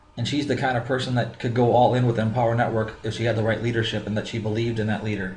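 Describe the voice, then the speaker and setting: A man at a medium pitch with a slight Minnesota accent, very fast pace, hardly any pauses, monotone, flat intonation, audible room echo and noticeable background noise. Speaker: business coach. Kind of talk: tutorial.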